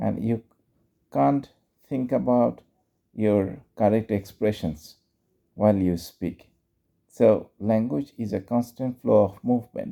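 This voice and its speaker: With a Bengali accent, a man with a fairly low pitch and a dark, mellow tone speaks at a very slow pace, leaving long, frequent pauses. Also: ordinary pitch variation. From Bangladesh. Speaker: English teacher and YouTuber. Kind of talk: casual instructional talk. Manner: unscripted, conversational.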